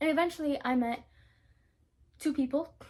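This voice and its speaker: This woman speaks with a South African accent. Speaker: drama school applicant vlogger. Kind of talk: casual vlog storytelling. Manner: enunciates clearly; halting, filler words.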